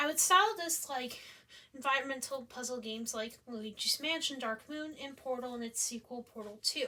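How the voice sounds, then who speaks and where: A woman speaks in a raised, projected voice with a high pitch, ordinary pitch variation, a bright, sharp tone and a moderate pace. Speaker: student presenting a game concept. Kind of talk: presentation.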